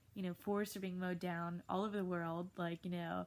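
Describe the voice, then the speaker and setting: Delivering her words at a fairly quick pace, a woman speaks in a monotone, flat intonation. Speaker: high school English teacher. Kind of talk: video lecture to students. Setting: recorded at home in bed. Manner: casual, many fillers.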